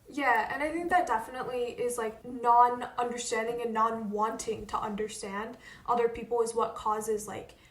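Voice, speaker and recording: Audible room echo surrounds a woman who speaks with an American accent, using a fairly high pitch, ordinary pitch variation and a moderate pace. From Northern Virginia, suburbs of Washington DC. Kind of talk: casual chat.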